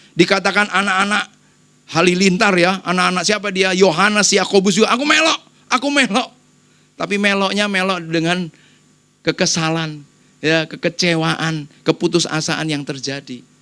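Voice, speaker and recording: Shrill and bright with a sharp tone, a man's high-pitched, raised and projected voice sounds animated on a very clean recording with a silent background. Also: ordinary pitch variation, moderate pace. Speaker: pastor. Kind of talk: sermon. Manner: animated, conversational.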